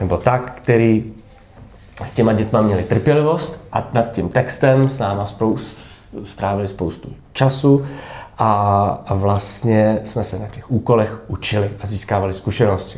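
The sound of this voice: A man talks with a fairly low pitch and ordinary pitch variation. His tone is slightly mellow.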